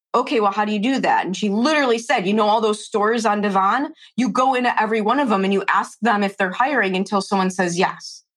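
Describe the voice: At a fast pace, a woman speaks with ordinary pitch variation. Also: medium pitch for a woman.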